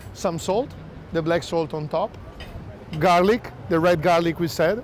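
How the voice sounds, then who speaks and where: A man is speaking. He has an Italian accent. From Italy. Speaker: chef. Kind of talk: hosted dinner presentation. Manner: casual, conversational.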